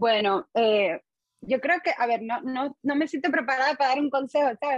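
In an eastern Cuban accent, a woman speaks with lively intonation in a dry, close sound with no echo. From Cuba, Holguín (eastern Cuba). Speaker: musician and singer. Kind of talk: interview.

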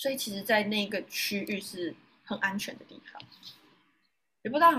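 A woman speaking at a moderate pace. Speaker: yoga teacher and university student. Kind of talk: interview. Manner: animated.

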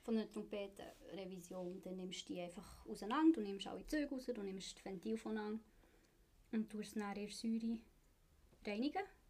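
With a dark, mellow, somewhat breathy tone, a woman at a medium pitch talks at a moderate pace with ordinary pitch variation and long, frequent pauses. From Switzerland, Bern. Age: 20s. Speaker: apprentice instrument repairer. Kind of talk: casual interview.

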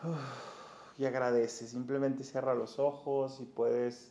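This man speaks fairly slowly, his intonation monotone and flat. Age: 40s. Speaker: podcast host and life coach. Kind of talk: motivational monologue; guided meditation.

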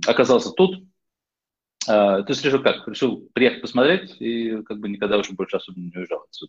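At a medium pitch and fairly quick pace, a man speaks with lively intonation and big swings in loudness. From Netherlands (born Moscow, childhood in US). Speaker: investor and entrepreneur. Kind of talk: interview. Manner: halting.

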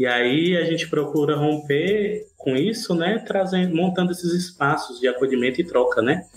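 With music in the background, a man speaks in a high pitch with ordinary pitch variation, very even loudness and hardly any pauses. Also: moderate pace. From Ceará, Brazil. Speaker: musician and activist. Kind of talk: casual chat.

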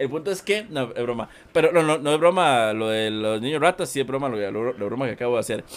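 This man's medium-pitched voice moves along at a very fast clip. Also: lively intonation. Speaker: gaming YouTuber. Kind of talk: casual chat.

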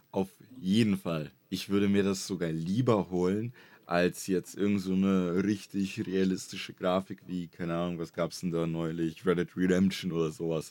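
With a very deep, low pitch and a dark, mellow tone, a man speaks at a moderate pace with fairly even intonation on a very clean recording with a silent background. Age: 20s. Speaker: YouTuber and streamer. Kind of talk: casual chat.

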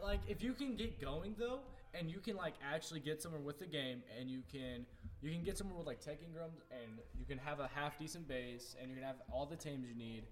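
A plain, everyday voice at a fairly quick pace. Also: man, fairly high pitch for a man, lively intonation. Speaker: podcast co-host. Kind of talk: casual chat.

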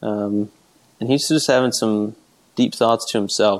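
A man with an ordinary speaking voice talks at a fairly slow pace, at medium pitch, with fairly even intonation. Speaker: podcast host. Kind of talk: casual chat.

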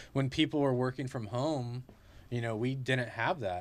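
A man of medium pitch with a Californian accent, on a very clean recording with a silent background. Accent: Californian American. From Central California (Clovis, Fresno area). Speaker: local shop owner. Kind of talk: casual chat.

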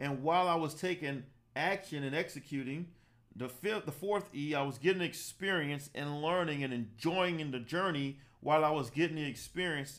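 A man with an American accent, fairly high in pitch and energetic in tone, at a moderate pace with ordinary pitch variation, on a very clean recording with a silent background. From US South, Savannah, Georgia. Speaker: life coach and podcast host. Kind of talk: motivational talk. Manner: energetic, preacher-like.

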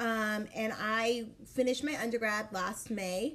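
A woman's somewhat breathy, fairly high voice with ordinary pitch variation. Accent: American. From Dallas, Texas. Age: 20s. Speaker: podcast co-host. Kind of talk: casual chat.

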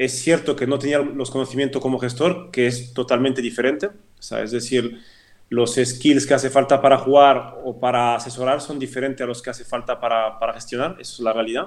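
A man's medium-pitched voice, fairly even in intonation, at a fairly quick pace. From French-speaking Switzerland. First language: French (speaking Spanish). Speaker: former football club CEO and lawyer. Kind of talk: interview. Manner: repetitive, halting with many false starts.

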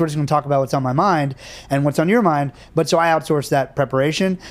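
The speech runs at a very fast pace. Its pitch varies in an ordinary way. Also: man. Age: 40s. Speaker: film director and producer. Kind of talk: casual chat.

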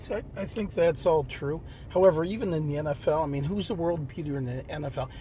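At a fairly quick pace, this is an unremarkable speaking voice with ordinary pitch variation. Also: man, fairly high pitch for a man. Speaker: dad, co-host. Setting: in a parked car.

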